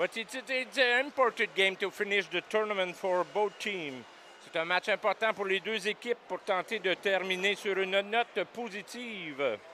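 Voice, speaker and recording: A raised, projected voice with a bright, sharp tone and ordinary pitch variation, fairly slow, with a dry, close sound and no echo. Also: man, high pitch for a man. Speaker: sports commentator. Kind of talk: live commentary. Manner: halting, many repetitions.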